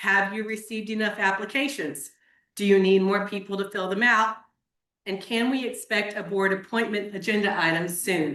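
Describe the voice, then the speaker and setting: In a Texas accent, a woman speaks with a bright, sharp tone at a medium pitch. Her intonation is fairly even and her pace moderate. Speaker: public commenter at county meeting. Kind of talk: public comment. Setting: courtroom public meeting.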